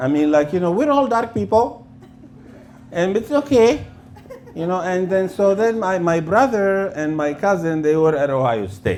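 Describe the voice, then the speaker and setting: Over noticeable background noise and audible room echo, a man talks in a high voice that swings very widely in pitch. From Lebanon. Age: 60s. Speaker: comedian. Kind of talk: stand-up. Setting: stage with audience. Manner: halting.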